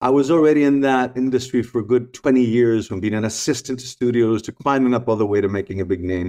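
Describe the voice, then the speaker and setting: Over a quiet background, a man with a medium-pitched, dark, mellow tone talks at a very fast pace with ordinary pitch variation and hardly any pauses. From Greece. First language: Greek. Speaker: spiritual teacher and former photographer. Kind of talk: casual interview chat.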